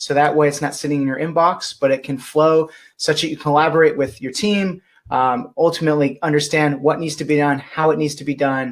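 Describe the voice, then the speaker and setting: This is a man with a fairly high pitch. He talks at a fairly quick pace. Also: ordinary pitch variation. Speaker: software company presenter. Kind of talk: webinar presentation. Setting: webinar. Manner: fast.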